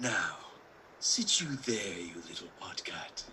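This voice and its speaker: A man puts on a character voice and talks at a fairly slow pace, with clear background noise. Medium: stage play. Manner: brusque, commanding.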